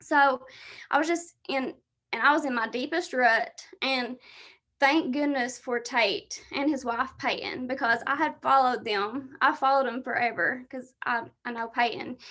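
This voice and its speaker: Raising and projecting her high, bright, sharp voice, a woman speaks at a fairly slow pace. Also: ordinary pitch variation. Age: 20s. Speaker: fitness coach. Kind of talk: presentation on a team video call.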